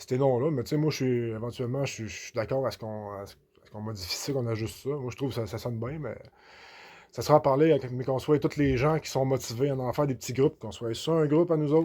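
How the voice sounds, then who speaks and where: With a Beauce Quebec accent, a man talks at a very fast pace in a dark, mellow tone at medium pitch with ordinary pitch variation. His loudness swings widely, on a very clean recording with a silent background. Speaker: activist vlogger. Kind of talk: casual monologue. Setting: relaxing with a beer. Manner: halting, many repetitions.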